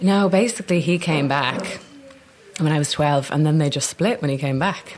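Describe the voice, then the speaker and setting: With a Dublin accent, a woman speaks at a moderate pace in a very deep, low pitch with ordinary pitch variation, against noticeable background noise. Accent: Dublin accent, kept. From Ireland, Dublin. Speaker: actor. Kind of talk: casual interview chat. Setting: cafe in Soho.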